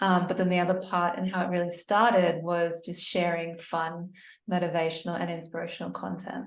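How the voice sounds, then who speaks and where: Speaking with an Australian accent at a fairly quick pace, a woman keeps a fairly low pitch and flat, monotone intonation, with room echo audible. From Sydney, Australia. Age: 30s. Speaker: community organizer and content creator. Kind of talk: casual interview chat.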